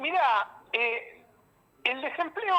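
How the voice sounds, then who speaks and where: A man talks. His voice is raised and projected. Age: 60s. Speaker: journalist. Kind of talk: radio interview.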